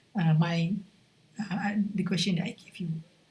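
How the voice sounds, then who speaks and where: A somewhat breathy voice in a Malaysian accent, at a moderate pace with fairly even intonation. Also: woman. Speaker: university lecturer. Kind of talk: recorded lecture. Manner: halting, many fillers.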